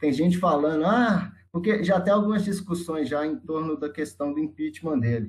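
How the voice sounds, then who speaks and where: This man has a Minas Gerais accent. His pitch is fairly high. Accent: Brazilian Portuguese, Minas Gerais (mineiro). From Sete Lagoas, Minas Gerais, Brazil. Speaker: geography student. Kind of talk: casual discussion.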